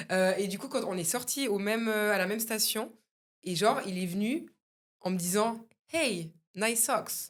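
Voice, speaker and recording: A woman speaks in an ordinary speaking voice at a medium pitch, with ordinary pitch variation. Her loudness swings widely, and her pace is fairly slow. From Switzerland. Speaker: podcast co-host. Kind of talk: casual chat.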